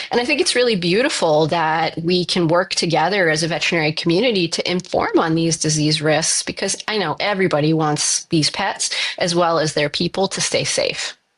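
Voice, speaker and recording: With a Canadian accent, a woman talks at a fairly quick pace with hardly any pauses, very even loudness and a fairly low pitch, over noticeable background noise. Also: ordinary pitch variation. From Canada. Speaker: veterinary infectious disease specialist. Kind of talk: podcast interview.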